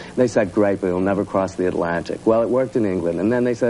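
Over light background noise, a man talks at a very fast pace. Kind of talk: interview answer. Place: studio. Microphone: lapel.

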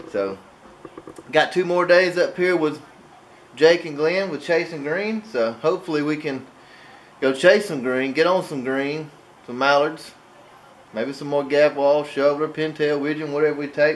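In an Alabama accent, a man speaks at a moderate pace and fairly high pitch, with ordinary pitch variation, big swings in loudness, and long, frequent pauses. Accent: US Southern (Alabama). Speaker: hunting vlogger. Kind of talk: vlog narration.

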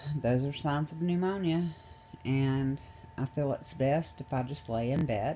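Over noticeable background noise, a woman speaks at a fairly slow pace in a very deep, low pitch with ordinary pitch variation. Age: 40s. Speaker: video blogger. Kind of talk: casual vlog talk to camera. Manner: halting, with many fillers and laughs.

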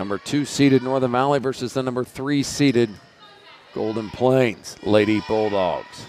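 At a moderate pace and with fairly even intonation, a man speaks in a dry sound with no echo over light background noise. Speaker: volleyball play-by-play announcer. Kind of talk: live sports commentary of a volleyball match. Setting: gym broadcast of a live volleyball game. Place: hall.

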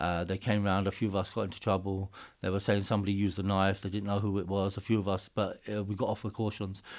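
In a London accent, the speaker talks at a very fast pace with flat, monotone intonation and hardly any pauses, over a quiet background. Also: man, fairly low pitch for a man. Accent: southern English, London-area street speech. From England, Hertfordshire. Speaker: Sikh activist. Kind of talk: casual interview. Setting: studio. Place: studio. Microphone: studio mic.

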